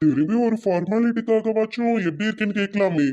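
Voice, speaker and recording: At a moderate pace, a man does a cartoonish character voice, pitched high with ordinary pitch variation. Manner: calm, reassuring.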